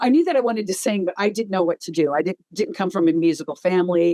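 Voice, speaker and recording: A woman talks at a very fast pace in an American accent, her pitch fairly low and her tone dark and mellow. Pitch variation is ordinary, and the sound is dry and close with no echo. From upstate New York. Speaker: heavy metal singer. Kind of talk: interview. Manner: casual.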